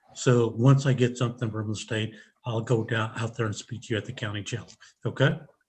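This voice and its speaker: The speaker is a man with a somewhat breathy voice at a medium pitch. He talks at a fairly quick pace with fairly even intonation. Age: 60s. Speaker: defense attorney. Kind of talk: court hearing.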